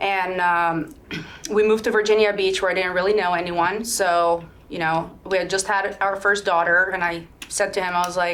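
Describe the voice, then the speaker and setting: A woman with a Macedonian accent speaks at a medium pitch with fairly even intonation. Room echo is audible. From Sweden. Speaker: real estate broker, army veteran. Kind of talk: interview conversation.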